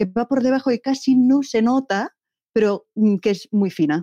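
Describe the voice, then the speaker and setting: A woman speaks in a fairly high pitch with a dark, mellow tone. The sound is dry and close, with no echo. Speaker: poet. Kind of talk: interview answers. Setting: interview. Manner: halting, hesitant.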